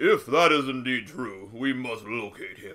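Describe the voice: A put-on character voice carries this clip. Its delivery keeps a moderate pace. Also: man.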